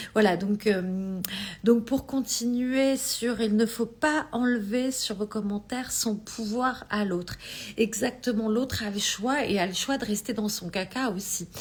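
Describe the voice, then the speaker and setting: Very slowly, a woman with a fairly high voice speaks, her pitch varying in an ordinary way. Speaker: energy healing coach. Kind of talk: live stream talk. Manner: halting.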